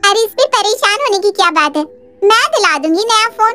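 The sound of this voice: In a cartoonish character voice, a woman speaks at an extremely high pitch with lively intonation, a moderate pace and very even loudness.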